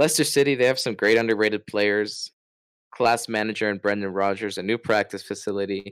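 In a normal speaking voice with an American accent, a man talks at a fairly quick pace, fairly low in pitch with fairly even intonation, in a dry, close sound with no echo on a very clean recording with a silent background. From Florida, US. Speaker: football podcast co-host. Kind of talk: casual chat.

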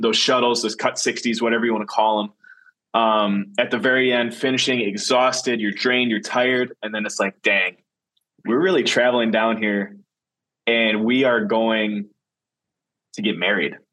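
With a Wisconsin accent, a man speaks at a moderate pace and medium pitch, his tone bright and sharp and his pitch varying in an ordinary way. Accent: Wisconsin, currently stronger. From Wisconsin, Green Bay. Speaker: podcast host and professional football player. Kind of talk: casual solo podcast monologue. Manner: casual, with frequent fillers and repetitions.

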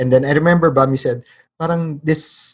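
A man is speaking. His voice is somewhat breathy. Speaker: podcast co-host, teacher and producer. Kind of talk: casual chat.

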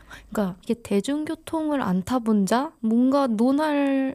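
This woman's voice has a dark, mellow tone and a lively intonation. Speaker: podcast co-host. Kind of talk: casual chat.

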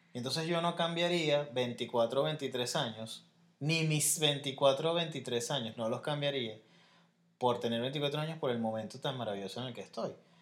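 A speaker with a Venezuelan accent talks at a fairly slow pace, with ordinary pitch variation. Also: man, fairly high pitch for a man. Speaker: podcast co-host. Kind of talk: casual chat.

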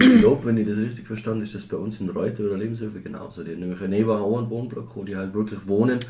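A man's fairly low, dark and mellow voice, somewhat breathy and monotone, rushing at a very fast pace with hardly any pauses. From Austria, Tyrol (Reutte district). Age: 20s. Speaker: podcast host. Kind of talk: casual chat.

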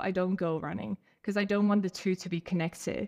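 A woman with an ordinary speaking voice of medium pitch talks at a moderate pace with ordinary pitch variation, in a dry, close recording with no echo and a quiet background. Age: 30s. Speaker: ultra runner and running coach. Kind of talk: casual interview chat.

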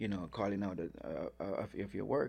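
A man with a Jamaican accent talks at a moderate pace, his pitch fairly low with ordinary variation and some vocal fry. The recording is very clean, with a silent background. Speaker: restaurant owner and chef. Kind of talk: casual interview.

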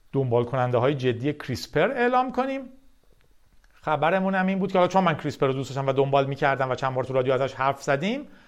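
This man speaks at a very fast pace in a fairly high pitch. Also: ordinary pitch variation, quiet background. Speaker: tech podcast host. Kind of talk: solo news monologue. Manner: casual conversational.

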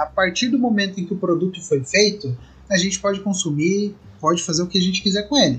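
High-pitched, a man talks at a fairly quick pace with ordinary pitch variation. His loudness stays very even. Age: 20s. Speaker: podcaster. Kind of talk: casual chat.

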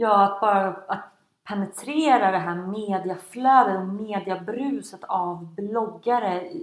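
A woman at a medium pitch with ordinary pitch variation and a very slow pace. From Sweden, Stockholm. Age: 20s. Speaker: blogger and entrepreneur. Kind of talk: interview.

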